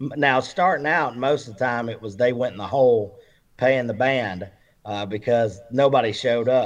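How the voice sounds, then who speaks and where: A man's medium-pitched voice with an Alabama accent. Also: ordinary pitch variation, moderate pace. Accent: Southern US (Alabama). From Alabama, Roanoke area. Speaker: country music singer-songwriter. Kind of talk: casual interview chat. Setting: remote call via Skype. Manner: halting, many fillers.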